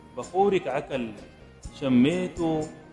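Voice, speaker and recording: A man with ordinary pitch variation, music in the background. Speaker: poet. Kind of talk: poetry reading.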